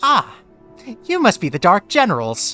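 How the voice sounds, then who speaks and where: Over faint background music, a raised, projected, put-on character voice moves at a moderate pace. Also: man. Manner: formal, bowing.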